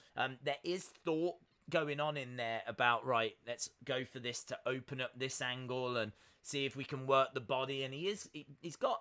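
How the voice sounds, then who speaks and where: A man talks at a moderate pace with an English Midlands accent. His voice sits at medium pitch with a bright, sharp tone. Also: ordinary pitch variation. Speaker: live-stream host reacting to boxing. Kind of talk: live-stream watch-along chat. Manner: casual, with many filler sounds (uh, um).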